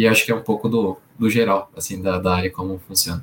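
The speech comes very fast, with fairly even intonation. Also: man. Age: 20s. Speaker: employer branding professional. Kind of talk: interview.

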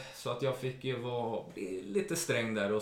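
A man's medium-pitched voice with lively intonation at a moderate pace, amid noticeable background noise and audible room echo. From Sweden, Jämtland. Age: 30s. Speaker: care worker. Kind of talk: interview.

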